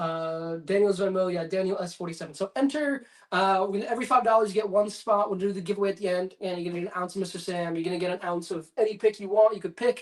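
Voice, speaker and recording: Speaking very fast with hardly any pauses, a man has a high pitch. His pitch variation is ordinary. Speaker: whiskey YouTuber. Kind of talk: livestream chat reading. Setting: livestream at home. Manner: casual, hesitant fillers.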